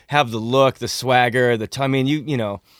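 A man at a medium pitch in a relaxed tone, dry and close with no echo, on a very clean recording with a silent background. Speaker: concert promoter and drummer. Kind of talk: casual radio interview chat. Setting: radio studio. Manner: relaxed, chatty, joking.

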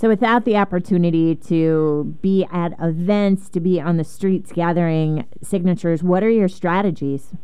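At a moderate pace with hardly any pauses, a woman talks in a plain, everyday voice, fairly low in pitch with ordinary pitch variation. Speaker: news host and interviewer. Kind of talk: interview.

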